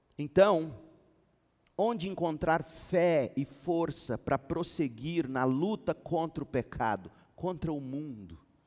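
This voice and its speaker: This man's voice sits fairly high. He talks very slowly with lively intonation. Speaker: pastor. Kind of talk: sermon. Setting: church.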